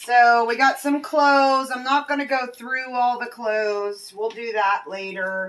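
Speaking at a very slow pace, a woman uses a high pitch with ordinary pitch variation. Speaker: storage unit reseller. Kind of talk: casual vlog chat. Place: street. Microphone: phone near.

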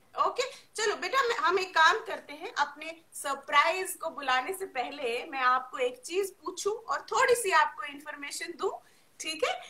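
A woman speaks at a very slow pace in a raised, projected voice, with very wide pitch swings. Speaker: session host. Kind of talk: lively host chat with children, quiz.

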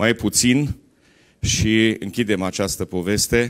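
In a quiet setting, a man's fairly low voice shows ordinary pitch variation. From Romania. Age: 60s. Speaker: politician. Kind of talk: political speech. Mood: dissatisfied, critical. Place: hall. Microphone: handheld.

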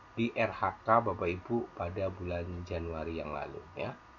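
A man speaking at a very slow pace. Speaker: teacher tutorial maker. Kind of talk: screen tutorial.

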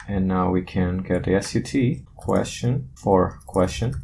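A dark, mellow tone with vocal fry and ordinary pitch variation. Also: man.

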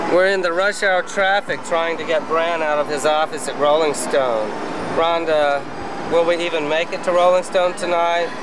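The man keeps a moderate pace. Background noise is noticeable, though the sound stays dry with no echo. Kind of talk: casual vlog chat. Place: car. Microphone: old recording.

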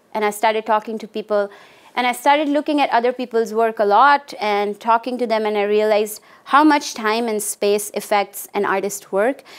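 A woman with an Indian accent speaks at a fairly high pitch. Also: ordinary pitch variation, moderate pace. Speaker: art professor. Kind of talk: lecture. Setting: stage with audience. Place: classroom.

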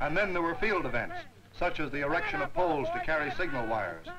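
Loud background noise sits behind the speaker. A man talks at a moderate pace. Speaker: newsreel narrator. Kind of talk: newsreel narration. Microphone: old recording.

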